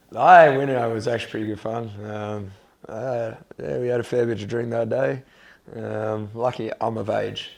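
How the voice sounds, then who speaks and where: A man speaks with an Australian accent at a moderate pace. His pitch sits in the middle range, with ordinary pitch variation. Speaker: college football punter. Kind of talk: casual interview. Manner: hesitant, many fillers.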